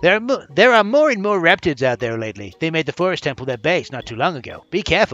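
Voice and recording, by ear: A man's put-on character voice, nasal and high-pitched, racing along at a very fast pace with very wide pitch swings over faint music in the background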